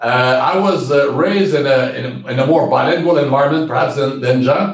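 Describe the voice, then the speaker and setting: In a Quebec accent, a man talks at a moderate pace with very wide pitch swings. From Quebec, Shawinigan area. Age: 70s. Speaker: retired diplomat. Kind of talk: interview. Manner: halting, many repetitions.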